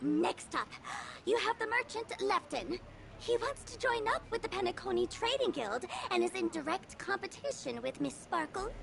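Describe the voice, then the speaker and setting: Clear background noise sits behind a put-on character voice. The pitch is extremely high and the pace moderate. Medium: video game. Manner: calm, explanatory.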